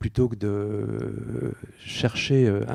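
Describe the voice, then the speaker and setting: The man's voice sits at a medium pitch with a dark, mellow tone and ordinary pitch variation. The recording is dry and close, with no echo. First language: Dutch (speaking French). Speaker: illustrator and picture book artist. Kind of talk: on-stage interview. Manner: hesitant, many fillers.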